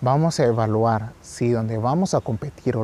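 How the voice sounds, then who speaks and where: Dry and close with no echo, a man's voice comes through in a dark, mellow tone. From Guatemala. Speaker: podcast host summarizing books. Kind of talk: book summary monologue. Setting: outdoors on a farm.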